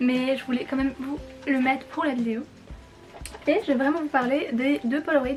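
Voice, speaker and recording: Over music in the background, a woman speaks in a high pitch. Her pace is moderate and her intonation fairly even. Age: 20s. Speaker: fashion and photo youtuber. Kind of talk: vlog explainer. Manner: casual, hesitant.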